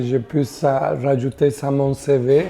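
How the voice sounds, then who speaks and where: Over noticeable background noise, a woman speaks with a very deep, low pitch and fairly even intonation. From Costa Rica. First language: Spanish (speaking French). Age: 60s. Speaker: community worker. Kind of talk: interview testimony. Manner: halting, many hesitations.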